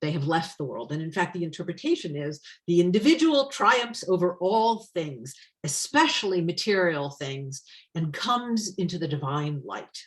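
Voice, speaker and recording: With lively intonation, a woman talks in a voice that is somewhat breathy. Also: fairly low pitch for a woman, moderate pace. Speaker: tarot deck author and witch teacher. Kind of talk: online presentation.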